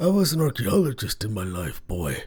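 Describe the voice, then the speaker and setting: Music plays in the background as a man speaks in a put-on character voice. His pitch is fairly high for a man. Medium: read story. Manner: folksy, dry, gruff.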